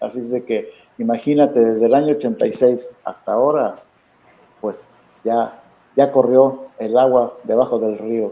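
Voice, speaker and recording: A man at a fairly slow pace, monotone and flat in intonation. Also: medium pitch for a man. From Mexico, León. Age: 70s. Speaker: football coach and analyst. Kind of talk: interview.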